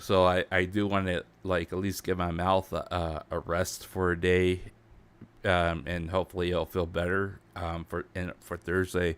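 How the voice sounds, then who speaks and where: A man uses a put-on character voice, raspy and very deep in pitch. His intonation is monotone and flat, at a moderate pace. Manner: careful, slow.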